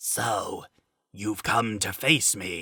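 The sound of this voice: The man puts on a raspy character voice at a medium pitch.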